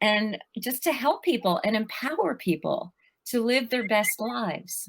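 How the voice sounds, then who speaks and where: Fairly slow, lively intonation from a woman with a normal speaking voice at a fairly high pitch. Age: 60s. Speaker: life coach and author. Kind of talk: podcast interview.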